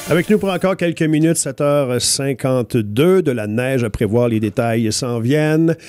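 The speaker uses lively intonation at a fairly slow pace. Faint music plays in the background. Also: man, fairly high pitch for a man, dry sound with no echo. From Quebec. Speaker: morning radio host. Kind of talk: casual radio chat. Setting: radio studio.

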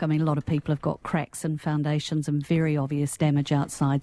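On a very clean recording with a silent background, a woman with a New Zealand accent talks at a very fast pace in a very deep, low pitch with a dark, mellow tone. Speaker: panelist. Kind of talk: radio panel discussion. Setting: radio studio.

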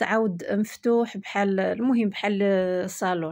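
A woman with a Moroccan accent speaks at a fairly high pitch and moderate pace with fairly even intonation over a quiet background. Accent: Moroccan Darija. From Morocco. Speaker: home lifestyle vlogger. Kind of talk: casual vlog narration.

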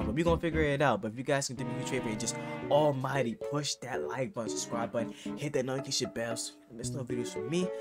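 Over clear music in the background, a man speaks at a very fast pace. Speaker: reaction video creator. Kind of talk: casual vlog chat. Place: home room.

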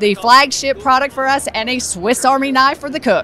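Against light background noise in a dry recording with no echo, a woman with a high pitch talks at a moderate pace with ordinary pitch variation. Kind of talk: product demo interview answer. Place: hall. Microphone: handheld.

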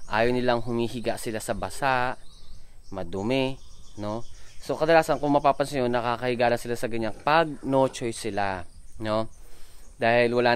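Fairly even in intonation, a man talks at a fairly quick pace in a dry sound with no echo. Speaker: pig farmer vlogger. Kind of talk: casual vlog chat. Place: farm. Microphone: phone near.

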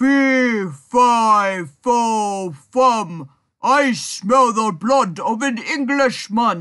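A man speaks very slowly in a put-on character voice pitched extremely high, over a quiet background. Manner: menacing.

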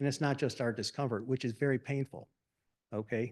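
A man talks at a medium pitch with fairly even intonation, the background quiet. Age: 60s. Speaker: resident speaking at public comment. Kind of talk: public comment at township meeting. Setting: township meeting at podium.

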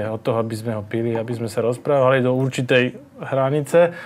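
Fairly quick speech with fairly even intonation. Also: man. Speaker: guest. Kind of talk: interview answer. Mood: relaxed, smiling. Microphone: lapel.

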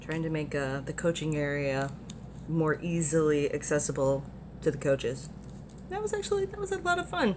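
An animated tone with an American accent moves at a moderate pace over noticeable background noise. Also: woman. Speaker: vlogger at a gaming convention. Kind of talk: casual vlog. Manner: animated, chatty.

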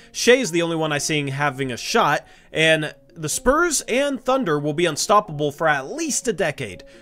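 A man talks over faint music in the background. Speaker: sports fan channel host. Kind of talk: commentary. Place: home room.

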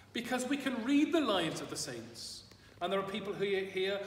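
With audible room echo and light background noise, a man speaks with lively intonation. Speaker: priest. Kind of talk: sermon. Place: church. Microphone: camera far.

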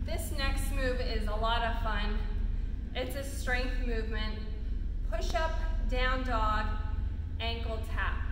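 A woman with an extremely high pitch speaks at a very slow pace, with audible room echo and noticeable background noise. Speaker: fitness instructor. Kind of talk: tutorial. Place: gym. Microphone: camera far.

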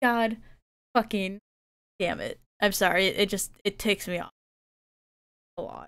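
A woman's monotone, flat delivery with big swings in loudness and long, frequent pauses, over a quiet background with a dry sound and no echo. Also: moderate pace. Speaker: video game streamer. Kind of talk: casual live-stream chat while crafting. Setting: home streaming setup with a finicky mic. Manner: often speaks quietly; frustrated, swears a lot. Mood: frustrated, swearing at times. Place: home room. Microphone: headset.

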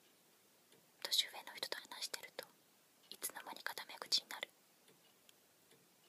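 Soft-spoken and whispering, the speaker goes at a fairly slow pace. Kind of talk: reading a personality description aloud. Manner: soft ASMR whisper reading aloud. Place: home room. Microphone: phone near.

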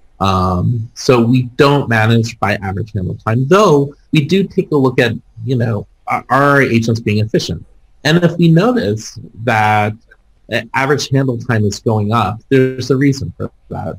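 The voice is somewhat breathy, with lively intonation at a fairly slow pace. The background is quiet. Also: man. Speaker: panelist. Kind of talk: interview answer.

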